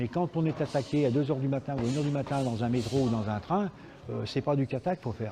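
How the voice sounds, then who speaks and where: Music plays in the background while the speaker uses ordinary pitch variation. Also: man. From France, Lyon. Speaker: karate teacher and former world champion. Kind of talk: interview testimony; martial arts class instruction.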